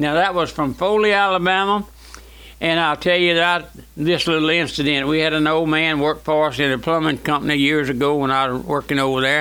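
A man's fairly high voice with a Louisiana accent, fairly quick pace and ordinary pitch variation. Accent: Southern US (Louisiana). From US South, Louisiana. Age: 80s+. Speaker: radio preacher. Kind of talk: radio sermon. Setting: radio broadcast.

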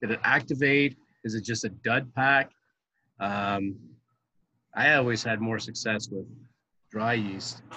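Pausing long and often, a man with a Canadian accent speaks in a bright, sharp tone at medium pitch with fairly even intonation. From Ottawa, Ontario, Canada. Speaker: brewery co-owner. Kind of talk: casual chat.

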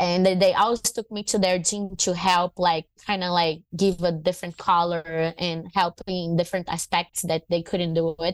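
A woman with a Portuguese accent, monotone and flat, at a moderate pace with hardly any pauses, in a dry, close sound with no echo. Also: fairly low pitch for a woman. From northern Brazil, Fortaleza. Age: 30s. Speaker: MMA fighter and jiu-jitsu champion. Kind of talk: casual interview.

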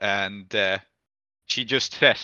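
Speaking at a slow pace, a man with a fairly low pitch has a clear, smooth yet bright, sharp tone, ordinary pitch variation, and a dry, close sound with no echo.

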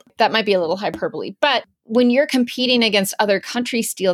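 In a dry, close sound with no echo, a woman with an unremarkable speaking voice uses lively intonation. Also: very clean recording, silent background. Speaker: climate policy editor and podcast host. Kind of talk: interview conversation.

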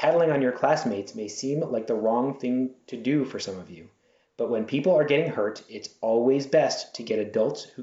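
The words are read aloud plainly. Pitch moves up and down in an ordinary way.

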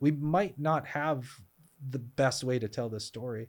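A man with an ordinary speaking voice talks at medium pitch and a fairly slow pace, with an American accent. The recording is very clean, with a silent background. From Boston area, US. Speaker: gaffer and lighting designer. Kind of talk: casual interview chat.

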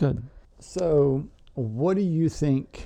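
A man is speaking in a dark, mellow tone. The rise and fall of his pitch is ordinary. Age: 20s. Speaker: podcast co-host. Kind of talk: casual chat.

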